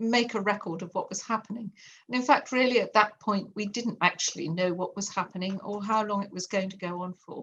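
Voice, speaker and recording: A woman speaks with an English accent and fairly even intonation, her loudness swinging widely. The background is quiet. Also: medium pitch for a woman, fairly quick pace. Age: 60s. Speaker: artist and art teacher. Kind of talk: interview.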